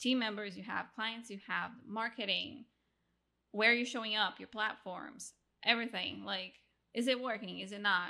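A woman with a Brazilian accent speaks at a moderate pace, her fairly high voice bright and sharp with vocal fry. Her intonation stays fairly even, and the recording is very clean with a silent background. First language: Portuguese. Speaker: podcast agency founder. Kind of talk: casual interview.

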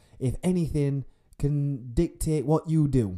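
This voice has a dark, mellow tone and a Yorkshire accent. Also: man. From northern England. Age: 20s. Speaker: podcaster. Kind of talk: solo casual monologue. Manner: casual, laughing often.

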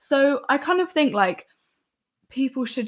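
A woman in a London accent speaks at a fairly slow pace. The recording is very clean, with a silent background. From West London. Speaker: singer-songwriter. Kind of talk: casual chat.

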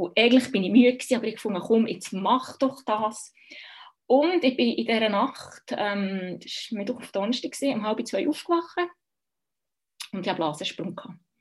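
Speaking at a moderate pace with a Bernese accent, a woman with a fairly high, somewhat breathy voice uses lively intonation and big swings in loudness. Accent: Bernese Swiss German. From Switzerland, Bern. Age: 30s. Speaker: midwife. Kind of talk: personal birth story interview. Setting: video call.

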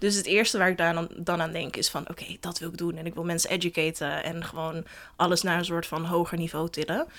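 Speaking very fast, a woman keeps a monotone, flat intonation. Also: fairly low pitch for a woman. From Netherlands, Den Helder. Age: 20s. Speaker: founder of a feminist platform. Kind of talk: casual interview.

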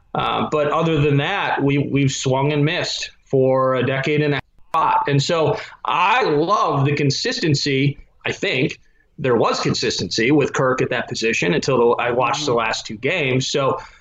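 A man's fairly high voice with an Upper Midwest accent, ordinary pitch variation and a moderate pace. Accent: Upper Midwest (Minnesota). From southern Minnesota. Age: 30s. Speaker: sports radio producer. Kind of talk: casual chat. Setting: remote call from his basement.

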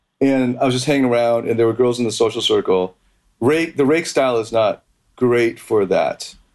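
An unremarkable speaking voice, a man's, sits at a medium pitch with ordinary pitch variation. He talks at a moderate pace and keeps his loudness very even. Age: 30s. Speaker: dating coach. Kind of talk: casual interview.

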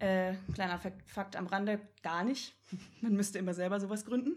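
This is a woman with a medium-pitched voice. Her pitch varies in an ordinary way. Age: 20s. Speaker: vegan animal rights activist. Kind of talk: casual chat.

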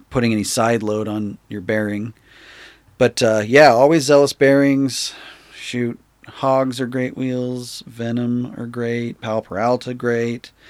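Very slowly and in a monotone, flat intonation, a man with an American accent speaks at a medium pitch. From Utah. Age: 30s. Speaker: skateboard maker. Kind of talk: casual chat.

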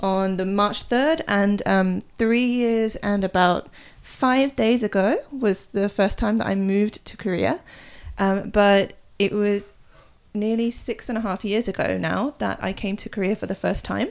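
Speaking with an English accent, a woman uses a medium pitch with ordinary variation. Her pace is fairly slow. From England. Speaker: podcast co-host, Korea blogger. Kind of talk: casual chat.

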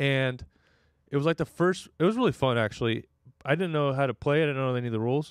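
A very fast, fairly high-pitched man's voice with an American accent and ordinary pitch variation. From Northern California. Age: 20s. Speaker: stand-up comedian. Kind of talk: casual chat. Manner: laid-back.

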